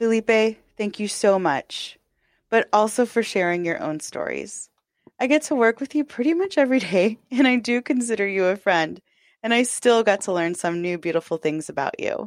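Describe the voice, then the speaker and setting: With a normal speaking voice, a woman talks at a moderate pace in a fairly high pitch and lively intonation, captured in a very clean recording with a silent background and a dry, close sound with no echo. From Texas. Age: 30s. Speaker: podcast host. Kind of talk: scripted narration.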